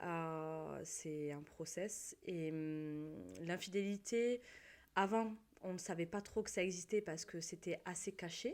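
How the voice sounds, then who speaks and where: A woman with a fairly low voice speaks very slowly, her pitch varying in an ordinary way. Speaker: guest in a chat. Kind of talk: casual chat.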